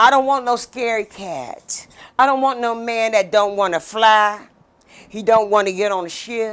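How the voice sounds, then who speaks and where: Very cleanly recorded against a silent background, a woman speaks at a moderate pace with a fairly high pitch. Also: ordinary pitch variation. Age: 60s. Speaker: podcast host. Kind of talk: casual chat. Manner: animated.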